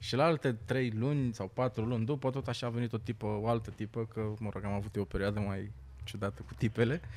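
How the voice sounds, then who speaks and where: With a normal speaking voice, a man talks fairly quickly, showing ordinary pitch variation. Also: medium pitch for a man. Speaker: stand-up comedian. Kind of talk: casual chat.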